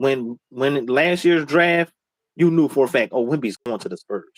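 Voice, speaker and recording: With an American accent, a man talks at a moderate pace in an ordinary speaking voice, fairly high in pitch and with lively intonation. The sound is dry and close, with no echo. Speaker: sports podcast co-host. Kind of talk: casual chat.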